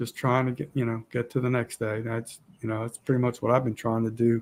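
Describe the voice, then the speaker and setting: This man speaks at a medium pitch and a fairly quick pace. His intonation is monotone and flat. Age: 60s. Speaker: outdoors YouTuber. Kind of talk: casual live chat. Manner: halting, repetitive.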